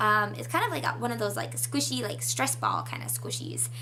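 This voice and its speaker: Speech from a woman, with noticeable background noise and audible echo from the room. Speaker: beauty youtuber. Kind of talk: casual haul video. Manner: animated.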